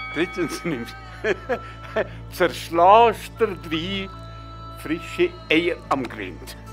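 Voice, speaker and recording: Over music in the background, a man speaks at a very slow pace with long, frequent pauses. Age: 80s+. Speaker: pensioner. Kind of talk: comedic tourism ad. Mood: wry, deadpan humor.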